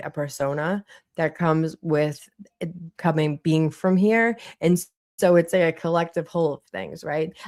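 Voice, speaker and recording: Speaking in a Boston accent, a woman keeps a moderate pace and an animated tone. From Boston, Massachusetts. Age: 40s. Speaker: streamer. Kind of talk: live stream chat. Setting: livestream.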